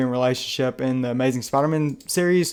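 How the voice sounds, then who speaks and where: A man with an American accent, fairly high pitch and ordinary pitch variation. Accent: Southern US, can get heavy. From US South. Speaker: movie reviewer, YouTuber. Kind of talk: casual movie review monologue. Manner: casual, filler-heavy with frequent uh and like.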